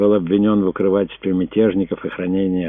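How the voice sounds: Natural voice of someone reading.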